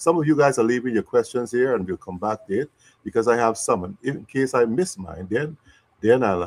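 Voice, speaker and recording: In a Guyanese accent, a man speaks at a medium pitch and a fairly quick pace with lively intonation, in a dry, close sound with no echo. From Guyana. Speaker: interview host. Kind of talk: live interview.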